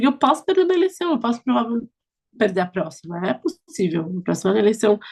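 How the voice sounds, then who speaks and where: Somewhat breathy and animated, a woman speaks very fast, her pitch swinging very widely. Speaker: politician. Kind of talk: interview.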